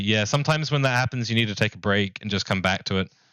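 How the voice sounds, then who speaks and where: A man talks in a New Zealand accent. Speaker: streamer. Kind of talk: casual live stream chat. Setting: live stream. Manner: casual, filler-heavy.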